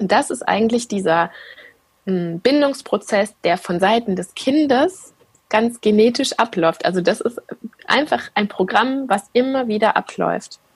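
A woman speaks at a fairly slow pace in a fairly high, somewhat breathy voice with lively intonation. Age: 30s. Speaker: attachment parenting blogger and mother. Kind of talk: interview.

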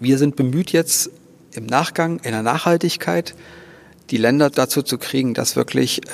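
A man talks at a medium pitch with ordinary pitch variation. His moderate pace carries over noticeable background noise. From Thuringia, Germany. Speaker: organist and charity founder. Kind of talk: interview. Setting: church.

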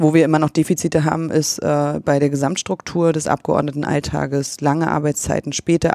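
The voice has a dark, mellow tone and a monotone, flat intonation. It moves at a fairly quick pace with hardly any pauses, in a dry, close sound with no echo. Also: woman. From East Germany, East Berlin. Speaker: politician. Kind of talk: interview.

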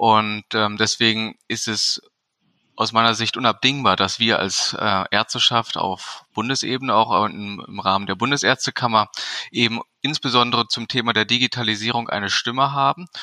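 A man's bright, sharp voice at medium pitch, fairly even in intonation and moderate in pace, with a dry, close sound with no echo on a very clean recording against a silent background. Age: 40s. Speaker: physician and medical association board member. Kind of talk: interview.

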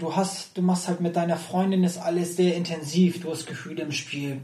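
A man's high-pitched, monotone voice with flat intonation, at a fairly quick pace. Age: 30s. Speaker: professional poker player. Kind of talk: casual interview chat. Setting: in person, sitting face to face.

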